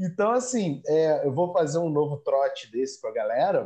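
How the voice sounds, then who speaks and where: At a fairly slow pace, the speaker delivers words in a dark, mellow tone. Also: man. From Rio de Janeiro, Brazil. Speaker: academic writing coach, podcast host. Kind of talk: interview. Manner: enthusiastic.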